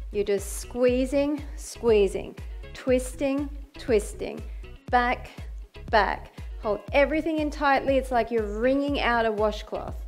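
Over faint background music, the speaker talks at a very slow pace. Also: woman. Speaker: fitness instructor. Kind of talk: workout instruction. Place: home room.

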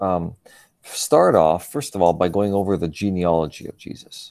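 At a moderate speed, a man is talking. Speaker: religion teacher. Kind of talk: lecture. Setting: video call.

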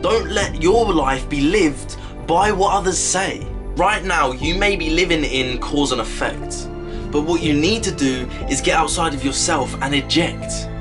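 Noticeable background noise accompanies a man speaking at a fairly slow pace. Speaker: motivational speaker. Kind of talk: motivational spoken word poem. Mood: earnest, encouraging. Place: home room. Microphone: phone near.

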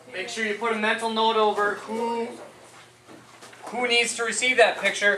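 There is light background noise and audible room echo. A woman is speaking. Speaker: teacher. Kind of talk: classroom instructions. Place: classroom. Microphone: camera far.

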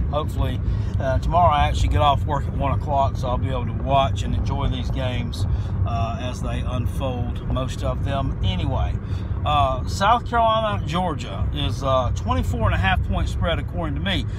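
Against loud background noise, a man talks at a moderate pace in a dry sound with no echo. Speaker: sports picks vlogger. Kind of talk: casual vlog chat. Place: car. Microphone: phone near.

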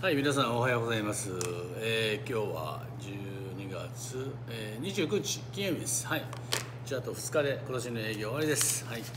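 A man talks at a medium pitch with ordinary pitch variation. His pace is moderate, and there is noticeable background noise. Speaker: YouTube vlogger living in the US. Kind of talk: solo monologue, informal talk. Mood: calm, relaxed. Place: cafe. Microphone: phone near.

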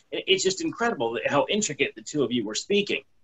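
An American-accented man speaks at a very fast pace. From not from Chicago. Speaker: podcast co-host. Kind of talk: casual chat. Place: home room. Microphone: video call.

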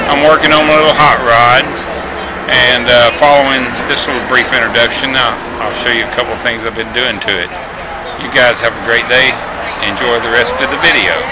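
Loud background noise fills the recording. A man talks at a fairly quick pace over it. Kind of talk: casual vlog chat. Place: station. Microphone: phone near.

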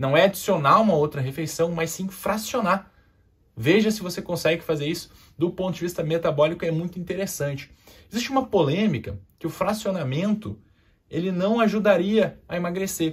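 This man's voice is high-pitched, with ordinary variation in pitch. He talks at a moderate pace. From southern Brazil, Porto Alegre. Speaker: endocrinologist. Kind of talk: health education video. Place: studio.

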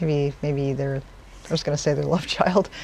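Against faint background noise, a woman with a low pitch and vocal fry talks at a moderate pace in a slightly mellow tone with fairly even intonation.

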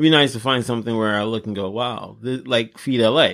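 Speaking at a fairly quick pace, a man with a Los Angeles accent uses ordinary pitch variation. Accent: Los Angeles American English. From South Central Los Angeles. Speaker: podcast co-host. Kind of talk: casual chat.

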